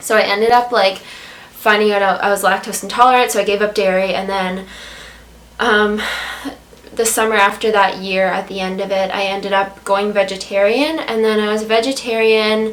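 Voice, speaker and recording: The intonation is monotone and flat, at a moderate pace. Noticeable background noise runs underneath. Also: woman, medium pitch for a woman. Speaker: vegan food blogger. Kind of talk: casual talk to camera.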